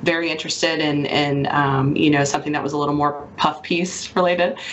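A Mississippi accent amid audible room echo and noticeable background noise. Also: woman. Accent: Southern US (Mississippi). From Mississippi Gulf Coast, St. Martin. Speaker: hospital communications manager. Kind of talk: radio interview.

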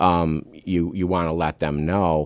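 With an American accent, a man speaks in a very deep, low pitch, recorded with a dry, close sound with no echo over a quiet background. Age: 50s. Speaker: district attorney. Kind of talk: radio interview. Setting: radio studio.

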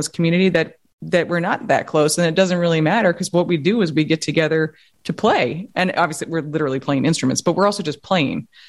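A woman with an American accent, fairly low in pitch, at a very fast pace with ordinary pitch variation. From New York City. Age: 40s. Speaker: science journalist and author. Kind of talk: podcast interview.

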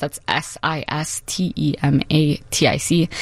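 A woman with an American accent. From Chicago, Humboldt Park. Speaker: multidisciplinary artist. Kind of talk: radio interview.

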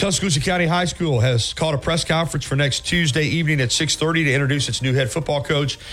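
A man with an American accent talks at a very fast pace with hardly any pauses, a fairly high pitch and ordinary pitch variation. His loudness stays very even, with noticeable background noise behind him. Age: 50s. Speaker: sports radio host. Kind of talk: sports radio talk.

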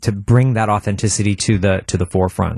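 A man with an American accent is captured in a very clean recording against a silent background. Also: dry, close sound with no echo. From Milwaukee, Wisconsin. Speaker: stage actor and composer. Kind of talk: casual interview. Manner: halting, many false starts.

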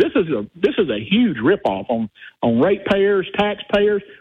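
With a Southern US accent, a man speaks at a high pitch that swings very widely. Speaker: caller. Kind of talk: talk radio call-in. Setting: phone call.

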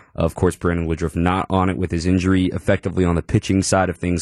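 The recording is very clean and the background silent. The voice carries an American accent. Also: man. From Texas. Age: 20s. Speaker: baseball commentator. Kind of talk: casual chat. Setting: studio. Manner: animated.

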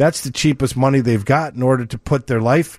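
A man with a New York accent talks at a medium pitch and a moderate pace. The sound is dry and close, with no echo. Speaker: mortgage lender. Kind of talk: call-in radio advice show. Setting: radio studio.

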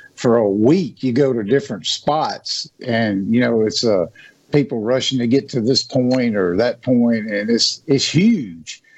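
A man with a Southern US accent at a medium pitch, a fairly slow pace and very even loudness. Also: ordinary pitch variation. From Natchez, Mississippi. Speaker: hunting and outdoors speaker. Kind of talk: radio interview.

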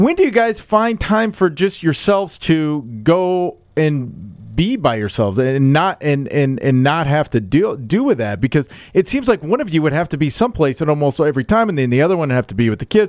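A man with an American accent speaks at a fairly quick pace with hardly any pauses, his pitch fairly high. His pitch swings very widely on a very clean recording with a silent background. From Iowa, US Midwest. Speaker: podcast host. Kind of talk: casual chat. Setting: studio.

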